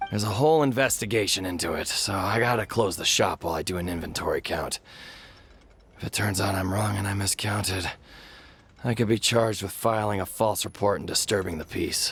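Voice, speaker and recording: A man puts on a character voice that is raspy and fairly low in pitch. He talks at a fairly quick pace. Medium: video game. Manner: anxious.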